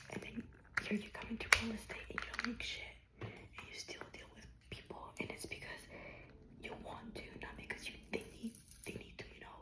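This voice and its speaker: A woman whispers at a moderate pace in a relaxed tone. Noticeable background noise is present. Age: 20s. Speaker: ASMR creator. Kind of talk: whispered personal update ramble to camera. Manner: soft-spoken, relaxed, rambling.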